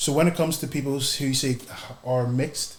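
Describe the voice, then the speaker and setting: A somewhat breathy man with a Northern Irish accent, fairly high pitch, fairly even intonation and a moderate pace. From Northern Ireland, Belfast. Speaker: podcast guest asking questions. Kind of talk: casual interview chat.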